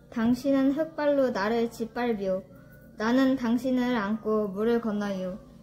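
A woman at a fairly high pitch with ordinary pitch variation and a fairly slow pace, music in the background. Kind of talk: poetry reading in dialect.

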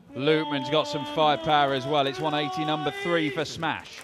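An animated, excited man at a fairly high pitch, with noticeable background noise. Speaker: darts commentator. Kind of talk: live sports commentary. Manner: animated, fast, excited play-by-play.

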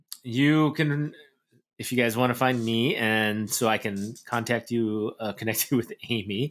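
This man has a plain, everyday voice with an American accent and a medium pitch. He talks at a fairly slow pace with fairly even intonation. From US South. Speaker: podcast co-host. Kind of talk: casual chat.

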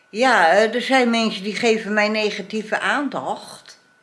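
A woman speaks at a very slow pace. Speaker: vlogger. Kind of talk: casual vlog chat. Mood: cheerful turning indignant. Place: home room. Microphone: phone near.

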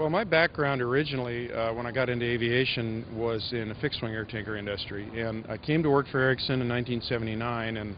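Fairly quick speech with hardly any pauses, ordinary pitch variation, light background noise and a dry sound with no echo. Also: man. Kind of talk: interview answer. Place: hall. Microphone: handheld.

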